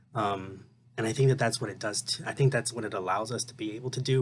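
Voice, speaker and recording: A man's somewhat breathy voice, its intonation fairly even. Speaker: student. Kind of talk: recorded class reading reaction. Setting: at home. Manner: halting, many fillers.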